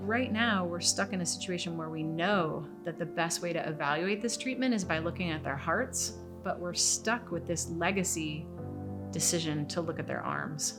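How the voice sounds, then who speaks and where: A woman's fairly low voice at a moderate pace, with very wide pitch swings and music in the background. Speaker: mother of a patient. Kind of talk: interview answer.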